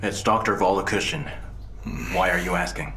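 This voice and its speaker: Putting on a character voice, a man speaks fairly quickly in a calm tone at a fairly low pitch, with clear background noise behind him. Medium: fan dub. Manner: calm, steady.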